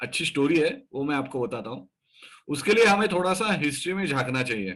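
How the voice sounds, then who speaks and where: A man's fairly high, bright and sharp voice with very wide pitch swings. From Maharashtra, India. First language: Marathi (speaking Hindi). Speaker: stock market educator. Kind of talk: educational talk. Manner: hesitant with fillers.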